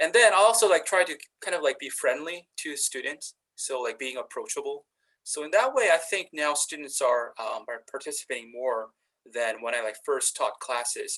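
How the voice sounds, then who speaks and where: Someone with a Korean accent talks at a moderate pace. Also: man. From South Korea. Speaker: university instructor. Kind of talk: panel discussion. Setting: webinar video call. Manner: halting, many fillers.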